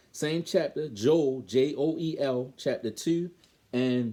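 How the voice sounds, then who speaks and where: A man's fairly high voice in a Baltimore accent, dark and mellow in tone, with ordinary pitch variation. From Baltimore, Maryland. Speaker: bible teacher. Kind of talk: bible lesson. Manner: halting, self-correcting.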